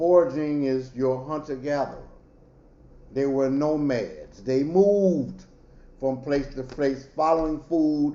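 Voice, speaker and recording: A man's fairly high voice at a very slow pace, fairly even in intonation, with audible room echo. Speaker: professor. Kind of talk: lecture.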